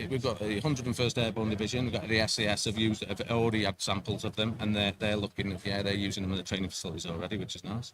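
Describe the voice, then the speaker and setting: A man with a slight English accent speaks at a very fast pace, with hardly any pauses. His pitch sits fairly low and his intonation stays fairly even. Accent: English, slight per own words. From England, Sheffield. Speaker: product representative and gamekeeper. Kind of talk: product pitch interview. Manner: halting, repeats words.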